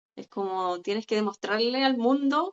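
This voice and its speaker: A woman with a plain, everyday voice, lively intonation and a fairly slow pace. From Chile. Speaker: psychologist. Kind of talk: interview.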